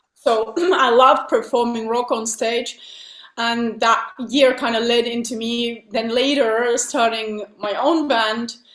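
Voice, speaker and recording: Very slow speech from a woman with a Finnish accent, fairly high in pitch and fairly even in intonation. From Finland. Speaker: metal singer. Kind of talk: interview.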